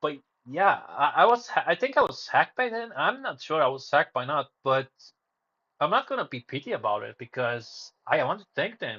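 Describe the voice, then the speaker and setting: The speaker has a Romanian accent and very wide pitch swings. The pace is moderate. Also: man. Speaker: live streamer. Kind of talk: casual livestream monologue. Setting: live stream. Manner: hesitant, many fillers and restarts.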